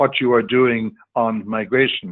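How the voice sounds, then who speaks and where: A man speaks with an Irish accent. His medium-pitched voice shows ordinary pitch variation. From Ireland. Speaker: diplomat, webinar panelist. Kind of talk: panel discussion. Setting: online webinar call. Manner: halting, many fillers and repetitions.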